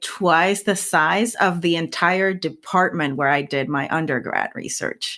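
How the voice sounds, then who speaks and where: A woman's fairly low-pitched voice with a bright, sharp tone and a Spanish accent, in a very clean recording with a silent background. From rural Puerto Rico. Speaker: scientist and science communicator. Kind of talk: interview. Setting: podcast.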